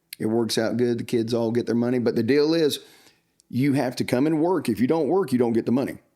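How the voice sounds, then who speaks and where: A man with a Southern US accent talks very fast in a dark, mellow tone at medium pitch, with ordinary pitch variation and very even loudness. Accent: Southern US (Georgia). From US South, Georgia (Upson County). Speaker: church youth minister. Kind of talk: casual interview chat. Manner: frequent fillers (uh).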